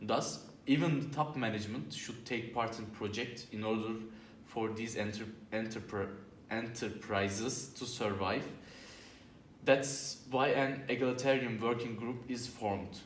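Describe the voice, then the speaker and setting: A man with a non-native accent speaks at a fairly slow pace and medium pitch, with ordinary pitch variation. Noticeable background noise and audible room echo are present. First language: not English. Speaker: job interview candidate in student role-play. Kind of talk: scripted role-play presentation. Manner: halting.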